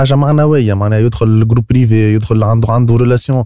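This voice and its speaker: A man's medium-pitched, dark, mellow voice comes at a fairly quick pace in a dry, close recording with no echo. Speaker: startup co-founder. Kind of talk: casual interview.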